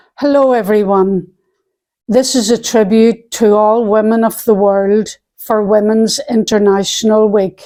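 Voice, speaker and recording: In a Belfast accent, the speaker keeps a dark, mellow tone, monotone flat intonation, very even loudness and a fairly slow pace. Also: woman, fairly high pitch for a woman. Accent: Belfast Northern Irish. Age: 70s. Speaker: poet. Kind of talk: poetry reading; spoken tribute. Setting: outdoors.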